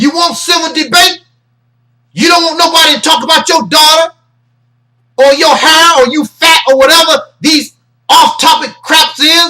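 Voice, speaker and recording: An extremely high-pitched male voice, bright and sharp in tone, raised and projected, with ordinary pitch variation, a moderate pace and long, frequent pauses. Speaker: internet ministry host. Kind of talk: commentary monologue. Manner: loud; animated.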